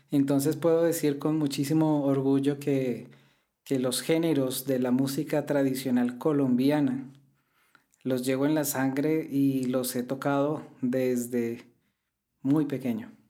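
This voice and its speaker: A man speaks very slowly in a fairly high pitch with a dark, mellow tone. His intonation is flat and monotone, his loudness very even, and the room echo is audible. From Colombia. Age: 40s. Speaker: classical guitarist. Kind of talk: interview.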